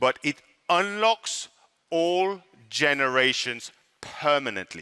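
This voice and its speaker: At a very slow pace, a man speaks with a fairly high pitch, lively intonation and a bright, sharp tone, the sound dry and close with no echo. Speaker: network marketing presenter. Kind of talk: sales pitch. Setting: stage with audience.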